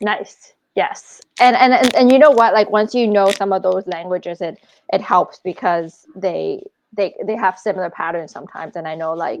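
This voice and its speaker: A woman's plain, everyday voice, medium in pitch with ordinary pitch variation, at a moderate pace with big swings in loudness. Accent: Canadian. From Canada, Scarborough, Toronto. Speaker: travel blogger. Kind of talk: casual chat.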